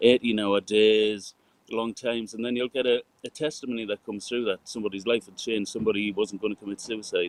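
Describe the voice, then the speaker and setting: Very fast and monotone, with flat intonation, a man with a fairly low pitch shows big swings in loudness. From northern England, Newcastle upon Tyne. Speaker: sound engineer. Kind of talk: casual chat.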